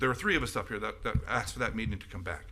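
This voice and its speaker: A man's bright, sharp tone with vocal fry. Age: 70s. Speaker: city commissioner. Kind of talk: public meeting remarks. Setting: city commission meeting. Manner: halting, with many restarts.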